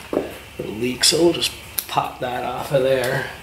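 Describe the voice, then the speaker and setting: The pace is very slow. Background noise is noticeable. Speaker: homesteader demonstrating repair. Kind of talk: tutorial. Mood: relaxed, jokey. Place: home room. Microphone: phone near.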